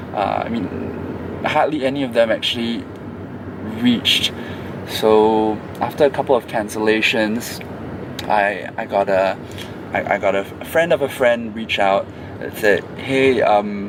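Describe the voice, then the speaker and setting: A man with a medium pitch speaks at a fairly slow pace, with ordinary pitch variation and long, frequent pauses. Noticeable background noise is present. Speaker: travel vlogger in a payments challenge. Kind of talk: casual vlog narration. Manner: halting, many fillers and restarts.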